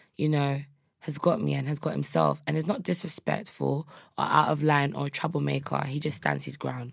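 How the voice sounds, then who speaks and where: The recording is very clean with a silent background. A woman with a South London accent speaks at a fairly quick pace. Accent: South London, Multicultural London English. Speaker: rapper. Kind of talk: casual interview. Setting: studio.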